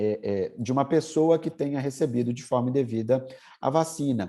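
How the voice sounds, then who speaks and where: Dark, mellow male voice at a moderate pace, with ordinary pitch variation and a quiet background. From Brazil, Minas Gerais. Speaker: lawyer and law professor. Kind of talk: interview. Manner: hesitant, frequent fillers.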